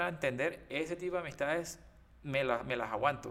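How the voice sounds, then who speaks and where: A man with lively intonation and vocal fry. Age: 30s. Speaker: podcast co-host. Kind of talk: casual chat.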